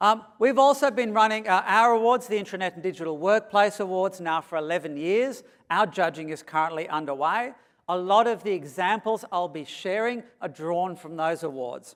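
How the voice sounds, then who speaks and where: With an Australian accent, a man speaks at a high pitch with lively intonation. His loudness swings widely. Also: moderate pace. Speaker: consultant and conference speaker. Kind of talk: keynote presentation. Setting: stage with audience. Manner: animated.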